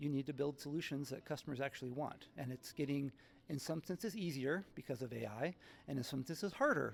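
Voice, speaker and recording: A fairly high-pitched man at a fairly quick pace, with vocal fry and ordinary pitch variation. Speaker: tech partnership executive. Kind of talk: conference interview. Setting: tech conference event. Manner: fast.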